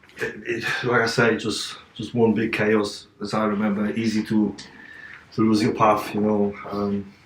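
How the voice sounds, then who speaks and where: In an Eastern European accent, the speaker talks fairly slowly in a flat monotone. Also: man, fairly low pitch for a man. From Poland, Katowice. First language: Polish. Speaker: interview guest, fitness personality. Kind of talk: interview. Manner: halting.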